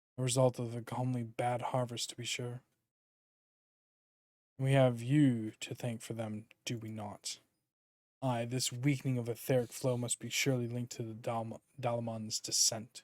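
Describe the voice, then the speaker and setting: A put-on character voice speaks in a monotone, flat intonation at a moderate pace. Long, frequent pauses break it up. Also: man, medium pitch for a man. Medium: game stream. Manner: earnest, formal.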